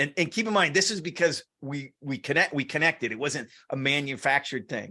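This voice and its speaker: A man talks at a fairly quick pace in a fairly high pitch with a bright, sharp tone. His pitch varies in an ordinary way, and the background is quiet. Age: 60s. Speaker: sales and partnerships entrepreneur. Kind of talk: interview conversation. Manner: repetitive false starts.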